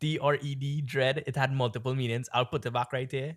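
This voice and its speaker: With an American accent and an animated tone, a man speaks somewhat breathily at medium pitch and a fairly slow pace. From Trinidad. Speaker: podcast co-host. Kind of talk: casual chat.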